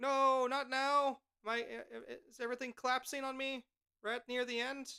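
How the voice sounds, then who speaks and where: In a dry, close sound with no echo, a woman projects a raised, high-pitched voice with a bright, sharp tone and big swings in loudness. Her intonation is monotone and flat, and her pace is moderate. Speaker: streamer. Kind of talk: watch party live stream commentary. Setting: live stream.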